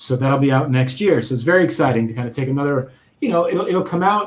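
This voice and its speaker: The speaker is a man with an ordinary speaking voice. His pitch is fairly high and varies in an ordinary way. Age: 40s. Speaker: author and UX consultant. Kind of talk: interview.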